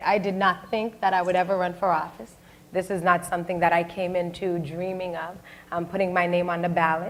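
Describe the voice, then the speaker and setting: Audible room echo follows a woman with an American accent and fairly low pitch as she speaks at a fairly quick pace. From Boston, Dorchester. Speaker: state senator. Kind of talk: panel discussion. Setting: stage with audience. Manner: loud; animated.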